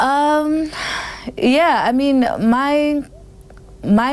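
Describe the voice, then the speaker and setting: A woman speaks, and noticeable background noise is present throughout. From South Africa. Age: 30s. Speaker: singer. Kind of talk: interview answer.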